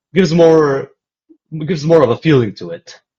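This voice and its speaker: A man with a dark, mellow tone talks with a slight American accent. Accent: slight American-sounding. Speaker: gaming streamer. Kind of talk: live stream gameplay commentary.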